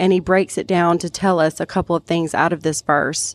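A woman with an ordinary speaking voice and an American accent talks at a moderate pace and fairly low pitch, with fairly even intonation. The recording is very clean with a silent background, and the sound is dry and close with no echo. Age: 30s. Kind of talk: personal testimony in casual chat.

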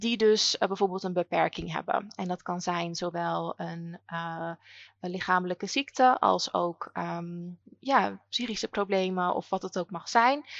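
In an unremarkable speaking voice, a woman talks at a fairly slow pace with medium pitch and ordinary pitch variation. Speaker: educational consultant and podcast host. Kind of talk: interview answers.

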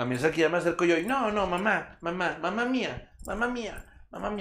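A high-pitched man with a Mexican accent. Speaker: podcast co-host. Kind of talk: casual chat. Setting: live stream.

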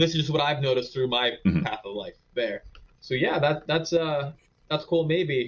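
His pitch is fairly high for a man, with ordinary variation. This man speaks at a moderate pace, his voice somewhat breathy. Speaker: small business owner. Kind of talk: casual interview.

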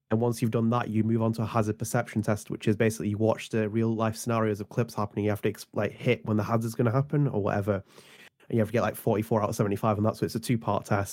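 A man with a British accent talks at a very fast pace, barely pausing, his medium-pitched voice flat and monotone. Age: 20s. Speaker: guest.

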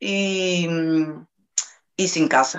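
A woman's fairly low voice in a Portuguese accent, with ordinary pitch variation. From Brazil, Salvador de Bahía. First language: Portuguese (speaking Spanish). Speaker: interviewee. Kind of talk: testimony.

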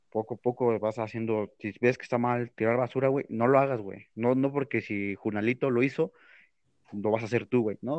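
A plain, everyday voice talks at a fairly quick pace with fairly even intonation. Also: man. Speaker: podcast co-host. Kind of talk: casual chat.

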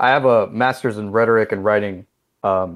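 This man has a plain, everyday voice at a medium pitch. He keeps a moderate pace against a quiet background. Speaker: game developer guest. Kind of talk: casual interview.

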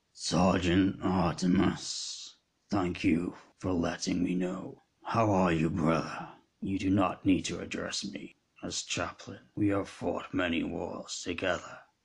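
In a put-on character voice, a man sounds raspy and robotic, very deep and low in pitch, at a fairly slow pace with fairly even intonation. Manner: formal and warm toward an old friend.

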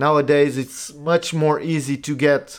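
Speaking with a Portuguese accent, a man uses a fairly high pitch. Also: very clean recording, silent background. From Portugal. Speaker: podcast host. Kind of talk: solo monologue podcast. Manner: halting, many fillers.

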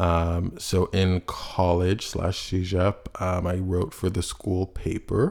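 Through noticeable background noise, a man with a very deep, low pitch speaks at a very slow pace with fairly even intonation. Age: 20s. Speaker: podcast host. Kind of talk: personal monologue. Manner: halting, many fillers.

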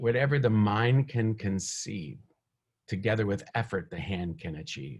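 Somewhat breathy and fairly low-pitched, a man talks at a fairly slow pace with lively intonation. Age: 50s. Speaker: minister. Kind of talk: sermon; casual chat. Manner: halting.

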